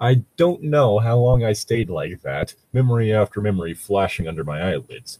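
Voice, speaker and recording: A somewhat breathy voice at a moderate pace, lively in intonation, with hardly any pauses. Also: man, medium pitch for a man. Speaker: podcast co-host reading fan fiction. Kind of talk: reading aloud with comic commentary. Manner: sarcastic.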